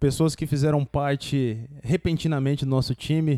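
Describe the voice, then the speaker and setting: A man with a fairly high pitch and a dark, mellow tone talks at a moderate pace with fairly even intonation, in a dry, close sound with no echo. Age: young. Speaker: podcast host, engineer. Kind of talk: casual chat. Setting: studio.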